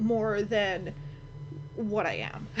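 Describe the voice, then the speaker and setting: In audible room echo, a woman with an American accent talks at a medium pitch. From US, San Francisco. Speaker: vlogger. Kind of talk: casual vlog monologue. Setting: at home in her room, under a kotatsu. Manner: halting, many restarts.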